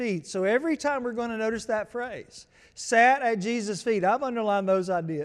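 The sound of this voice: Pitch variation here is ordinary. The delivery is an unforced reading voice.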